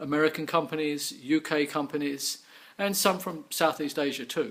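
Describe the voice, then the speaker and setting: A man with a slight English accent, fairly high in pitch, at a moderate pace with fairly even intonation. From England. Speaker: business owner. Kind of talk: sales pitch.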